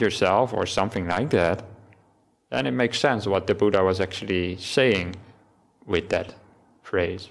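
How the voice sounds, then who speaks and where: A man with a Dutch accent, fairly low in pitch, at a moderate pace. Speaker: Buddhist monk giving a dharma talk. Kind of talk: dharma talk. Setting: temple hall with audience, livestreamed.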